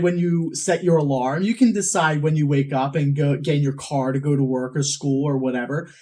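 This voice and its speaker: A man at a moderate pace. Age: young. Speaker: college student. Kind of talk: interview answer.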